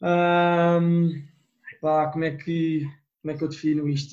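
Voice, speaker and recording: Fairly high male voice, flat and monotone in its intonation. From Portugal. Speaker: student abroad. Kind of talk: casual chat.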